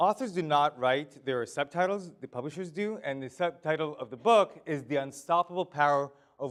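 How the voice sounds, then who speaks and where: A man's fairly high voice at a moderate pace, with lively intonation. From Israel. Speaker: author and leadership speaker. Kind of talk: keynote presentation. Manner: casual, humorous delivery.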